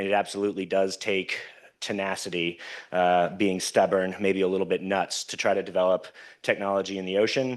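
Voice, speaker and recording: Against a quiet background, a man talks at a fairly quick pace with a fairly low pitch. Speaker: company technical executive and conference speaker. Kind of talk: conference talk. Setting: stage with audience. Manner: loud; animated.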